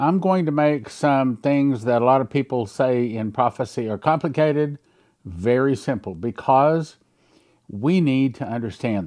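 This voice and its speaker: With an ordinary speaking voice, a man speaks at a medium pitch and a fairly slow pace, his intonation lively against a quiet background. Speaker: pastor. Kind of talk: sermon on Bible prophecy.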